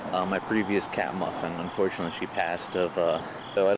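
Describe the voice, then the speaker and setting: A man with an American accent and a very deep, low pitch talks at a very fast pace against noticeable background noise. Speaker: vlogger filming a walk. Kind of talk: casual walking vlog monologue. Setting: outdoors on a bike path. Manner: soft-spoken. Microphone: camcorder mic, voice recorded very quiet.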